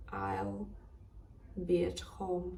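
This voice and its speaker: The speech moves at a very slow pace with audible room echo. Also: woman. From Ukraine, Kharkiv. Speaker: interviewee. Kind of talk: personal testimony.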